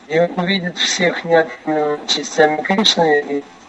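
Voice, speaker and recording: Noticeable background noise surrounds this man's voice. He speaks very slowly at a fairly high pitch. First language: Russian. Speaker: interpreter. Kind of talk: consecutive interpretation. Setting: phone call. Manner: soft-spoken.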